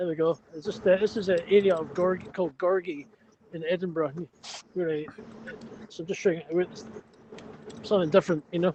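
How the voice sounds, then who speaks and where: This man's high-pitched voice moves at a fairly quick pace with fairly even intonation, big swings in loudness, and long, frequent pauses. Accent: Scottish. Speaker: livestream participant. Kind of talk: casual chat. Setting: outdoors.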